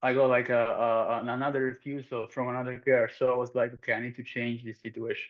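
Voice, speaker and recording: A man with a strong southern Italian accent speaks at a medium pitch in a monotone, flat intonation. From southern Italy, Calabria. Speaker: performance coach. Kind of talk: interview. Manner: halting, many fillers.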